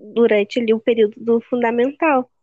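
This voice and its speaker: In a normal speaking voice, a woman goes at a moderate pace, her pitch varying in an ordinary way. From Rio Grande do Sul, Brazil. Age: 19. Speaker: podcast co-host. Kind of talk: casual chat.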